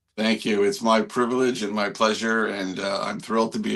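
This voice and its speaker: Speaking with a Canadian accent, a man with a plain, everyday voice talks at a fairly quick pace and medium pitch. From Canada. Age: 60s. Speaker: landscape artist. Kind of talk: interview.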